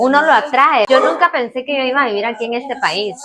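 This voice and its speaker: Using a normal speaking voice, a woman talks with lively intonation at a moderate speed. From Guatemala, born in Cuba. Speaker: channel co-host. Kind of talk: casual chat. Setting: home kitchen.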